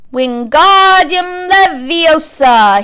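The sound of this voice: Shouting in a put-on character voice, a woman hits an extremely high pitch over clear background noise.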